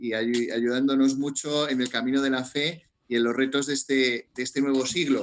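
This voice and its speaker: Flat, monotone intonation from a man at medium pitch and moderate pace. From Spain, Madrid. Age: 40s. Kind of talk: interview. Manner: halting, repeats words.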